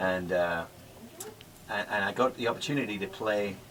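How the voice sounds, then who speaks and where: Over noticeable background noise, a man with a Geordie accent talks at a moderate pace in a fairly low pitch, with ordinary pitch variation. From northeast England, Newcastle. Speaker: country singer. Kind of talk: radio interview. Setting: radio studio.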